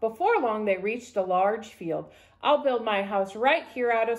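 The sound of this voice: An unforced reading voice is heard here. Its pitch varies in an ordinary way.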